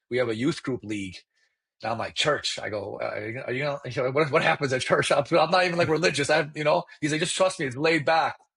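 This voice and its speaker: Very fast and with lively intonation, a man speaks in a fairly high voice with vocal fry. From Iranian family, grew up in Chicago area. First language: Farsi. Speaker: mortgage loan officer. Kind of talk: interview storytelling. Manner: animated.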